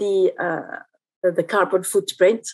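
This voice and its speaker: A woman speaking at a very slow pace over a quiet background. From Algeria. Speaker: architecture professor. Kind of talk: lecture. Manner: halting. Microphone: webcam.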